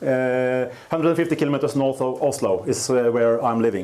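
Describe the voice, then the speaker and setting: A man speaks with ordinary pitch variation, his voice carrying audible room echo amid noticeable background noise. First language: Norwegian. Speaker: dairy farmer. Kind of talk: conference talk. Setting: stage with audience. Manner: halting, many fillers; slow.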